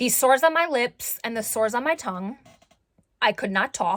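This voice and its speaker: Her voice sits fairly high in pitch. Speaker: vlogger sharing recovery story. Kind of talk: personal testimony vlog. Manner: loud; halting, many fillers.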